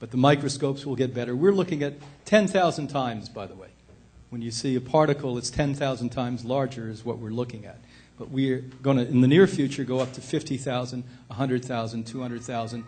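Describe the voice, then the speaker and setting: A man with a medium pitch talks at a very fast pace, his loudness swinging widely and his pitch varying in an ordinary way, with audible room echo. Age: 60s. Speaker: health institute director and speaker. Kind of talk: lecture. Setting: stage with audience. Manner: animated.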